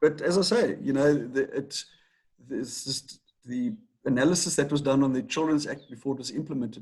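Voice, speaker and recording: A man talks at a fairly quick pace. His voice is fairly high in pitch and somewhat breathy. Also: ordinary pitch variation. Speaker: attorney. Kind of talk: interview. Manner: halting, with repetitions.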